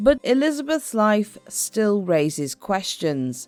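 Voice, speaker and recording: Over music in the background, a woman talks at a fairly slow pace, her pitch swinging very widely. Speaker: history narrator. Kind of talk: documentary history narration.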